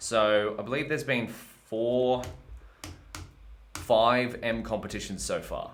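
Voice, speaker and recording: A man talks very slowly with an Australian accent. Audible room echo surrounds his voice. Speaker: machine learning educator streaming live coding. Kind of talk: live-streamed research and coding session. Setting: live stream. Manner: casual, erratic.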